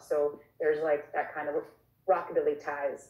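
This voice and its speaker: A woman speaks in a normal speaking voice at a moderate pace, her intonation fairly even. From Long Island, New York. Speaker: singer-songwriter. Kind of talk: casual interview.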